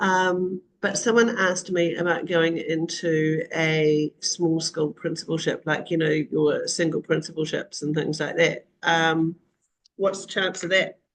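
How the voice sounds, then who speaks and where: Fairly slow and with fairly even intonation, a woman speaks with a New Zealand accent. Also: fairly low pitch for a woman. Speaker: online community host for school leaders. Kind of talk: live video call discussion. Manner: casual, frequent fillers.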